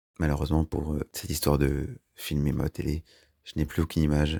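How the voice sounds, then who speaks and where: Recorded dry and close with no echo, a man speaks at a moderate pace in a very deep, low voice with a dark, mellow tone. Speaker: YouTuber. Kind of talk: personal vlog storytelling. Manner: monotone; hesitant.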